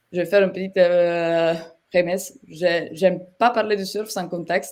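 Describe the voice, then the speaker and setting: A woman speaks very slowly at a medium pitch, in a monotone, flat intonation. She has a slight Italian accent. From Italy. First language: Italian (speaking French). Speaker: software partnerships manager, webinar guest. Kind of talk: webinar presentation. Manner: hesitant, many fillers.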